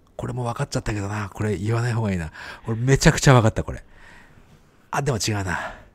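A man with a medium pitch and a somewhat breathy voice talks at a very fast pace with ordinary pitch variation, leaving long, frequent pauses. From Japan. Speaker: podcast co-host. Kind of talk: casual chat.

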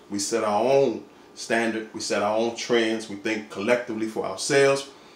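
Audible room echo surrounds a man speaking at a moderate pace. His pitch varies in an ordinary way. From Washington DC. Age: 40s. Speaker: vlogger; fashion vlogger. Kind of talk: casual vlog. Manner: animated. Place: home room. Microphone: phone near.

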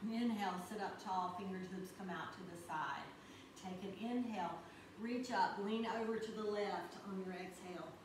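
Against noticeable background noise and audible room echo, a woman talks at a moderate pace in a medium-pitched voice with ordinary pitch variation. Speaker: yoga instructor. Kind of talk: guided yoga class. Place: home room. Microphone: camera far.

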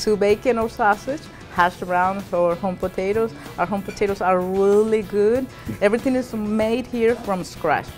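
Faint music plays in the background. A woman speaks at a moderate pace with ordinary pitch variation. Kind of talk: interview answer. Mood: friendly, proud of menu. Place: cafe. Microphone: lapel.

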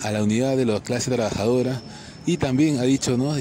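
Noticeable background noise runs behind a man with a medium pitch. He speaks at a fairly quick pace with fairly even intonation. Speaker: political commentator. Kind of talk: video commentary monologue.

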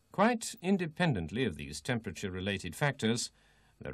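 Over a quiet background, a man talks at a moderate pace with vocal fry and very wide pitch swings. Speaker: training film narrator. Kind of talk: vintage technical training film narration, scripted. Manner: formal; measured, even, step-by-step instructional delivery.

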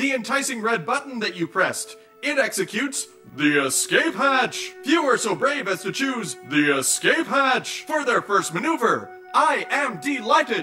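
In a put-on character voice with a fairly high pitch, the speaker moves at a moderate pace through very wide pitch swings while clear music plays in the background.

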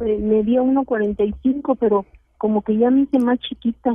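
A woman speaks with fairly high pitch. Her intonation stays fairly even. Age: 70s. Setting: phone call.

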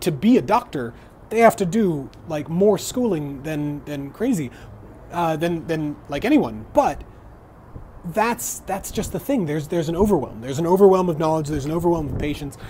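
Light background noise accompanies a man speaking. He uses lively intonation at a moderate pace. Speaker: fitness vlogger. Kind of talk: casual vlog chat. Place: home room. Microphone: earbuds.

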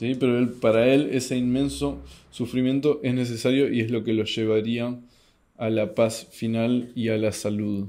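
Over a quiet background, a man with a dark, mellow tone speaks at a moderate pace with fairly even intonation. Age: 30s. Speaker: YouTube host commenting on philosophy books; philosophy commentator. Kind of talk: book review monologue. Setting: at home in his apartment at night. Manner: hesitant, many filler sounds. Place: home room.

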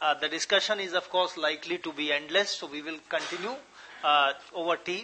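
The speaker is a man going at a moderate pace. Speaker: lecture moderator. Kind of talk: introduction and moderating Q&A. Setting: lecture hall with live audience. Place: hall. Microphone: podium.

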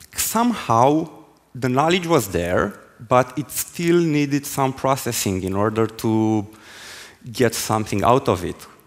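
The delivery is fairly slow, with lively intonation. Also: man. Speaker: conference speaker. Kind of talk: technical talk. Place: stage. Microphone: headset.

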